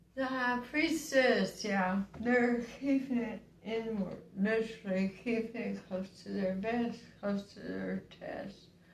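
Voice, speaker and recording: A woman with a fairly high pitch and ordinary pitch variation. Her voice is somewhat breathy, with hardly any pauses. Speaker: tarot reader. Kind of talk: tarot reading to camera. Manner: slow.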